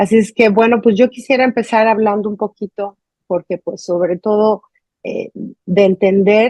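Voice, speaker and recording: A woman's fairly high voice with a Mexican accent, fairly slow and fairly even in intonation. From Mexico. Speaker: journalist, interview host. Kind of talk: interview.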